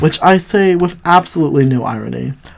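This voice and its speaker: Noticeable background noise accompanies words spoken at a fairly slow pace. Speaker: movie reviewer. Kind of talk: casual commentary.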